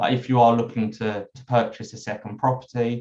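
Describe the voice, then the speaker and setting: A man's voice at medium pitch. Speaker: accountant. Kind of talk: webinar presentation. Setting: online webinar. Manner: hesitant, many fillers.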